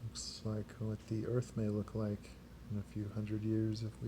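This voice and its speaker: A man speaks at a moderate pace in a fairly low, soft-spoken voice. His delivery is somewhat breathy and flat, with monotone intonation. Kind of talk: ASMR page-turning talk.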